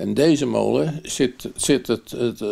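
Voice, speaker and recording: Over a quiet background, a man speaks with a dark, mellow tone and vocal fry. His intonation is lively. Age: 80s+. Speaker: miller. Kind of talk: interview answer.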